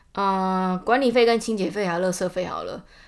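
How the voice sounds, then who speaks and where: Speaking with a Taiwanese accent, a woman talks at a fairly quick pace with medium pitch and ordinary pitch variation. The recording is very clean and the background silent. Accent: Taiwanese Mandarin. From Taiwan, Taichung. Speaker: podcaster. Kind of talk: casual monologue.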